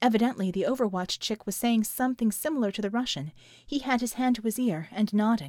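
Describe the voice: Ordinary pitch variation marks this plain reading aloud.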